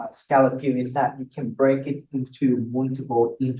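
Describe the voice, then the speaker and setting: A man's somewhat breathy, medium-pitched voice with a Vietnamese accent, at a moderate pace. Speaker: math instructor. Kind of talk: lecture.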